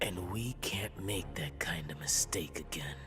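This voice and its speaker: Over loud background noise, a man does a put-on character voice at a very deep, low pitch and a moderate pace. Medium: video game.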